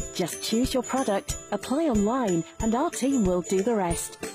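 A woman talks at a moderate pace in a fairly high voice, with music in the background. Her intonation is lively. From UK. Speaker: voice actor. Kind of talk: TV commercial read.

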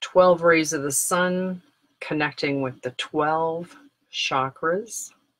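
A woman's calm, soothing tone, fairly low in pitch, very slow, with fairly even intonation. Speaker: meditation guide. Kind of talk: guided meditation. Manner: slow, calm and soothing, with gentle pauses. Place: home room. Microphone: webcam.

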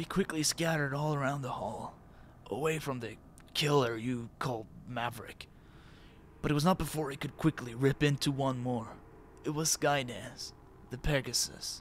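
A man's put-on character voice, raspy and croaky, medium in pitch, at a moderate pace with fairly even intonation and clear background noise. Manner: halting, tearful, pained.

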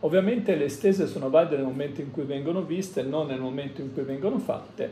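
A man at a moderate pace with ordinary pitch variation, light background noise and audible room echo. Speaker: tarot reader. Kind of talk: tarot reading monologue. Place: home room. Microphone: phone near.

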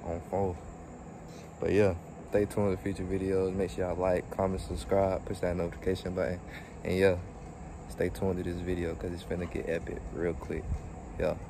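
The voice has a dark, mellow tone and a fairly quick pace, with a dry sound with no echo and noticeable background noise. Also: man, very deep, low pitch for a man. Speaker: vlogger. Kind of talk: casual vlog chat. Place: open country. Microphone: phone near.

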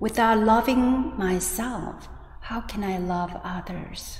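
A woman speaks in a gentle, calm tone at a fairly high pitch, her intonation fairly even. Audible room echo surrounds her voice. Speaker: Buddhist teacher leading guided meditation. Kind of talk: guided meditation and dharma talk. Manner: slow, gentle, calm; soothing, with long pauses between phrases. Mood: calm, soft, gentle. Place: church.

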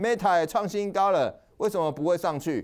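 In a very clean recording with a silent background, a man with a high pitch speaks in an animated tone at a moderate pace. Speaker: stock market analyst show host. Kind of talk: market commentary monologue. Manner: casual, filler-heavy (哦, 哈).

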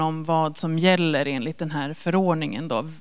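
This woman has an unremarkable speaking voice, talking at a moderate pace with ordinary pitch variation against a quiet background. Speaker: government agency officer; presenter. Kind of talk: informational presentation. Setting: stage with audience. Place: hall. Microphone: handheld.

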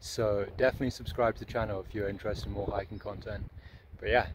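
Noticeable background noise sits under a voice with fairly even intonation and a dry sound with no echo. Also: man. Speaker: thru-hiker vlogger. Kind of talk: casual vlog chat. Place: open country. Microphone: phone near.

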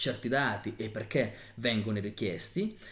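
A man talks with lively intonation over a quiet background. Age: 30s. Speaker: nutrition educator. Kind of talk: tutorial. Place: home room.

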